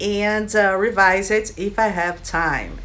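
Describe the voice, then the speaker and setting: In a Brazilian accent, a woman speaks at a very slow pace with audible room echo. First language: Brazilian Portuguese. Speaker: writer and video creator. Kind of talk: casual vlog introduction.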